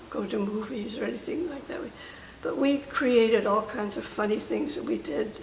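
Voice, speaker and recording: A woman with an American accent speaks with lively intonation against noticeable background noise. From Oakland, California. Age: 80s+. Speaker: World War II army truck driver. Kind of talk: interview answer.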